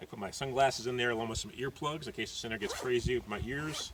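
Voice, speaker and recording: Noticeable background noise fills the recording. Through it, a man talks at a very fast pace. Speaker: street preacher, evangelist. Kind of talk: casual talk to camera, gear tutorial.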